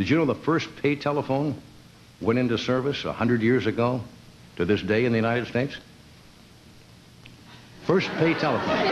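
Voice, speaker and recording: Speaking at a fairly quick pace with long, frequent pauses, a man with a medium-pitched voice and ordinary pitch variation is heard over noticeable background noise. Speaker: late-night talk show host. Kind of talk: stand-up monologue to a studio audience. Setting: TV studio with live audience.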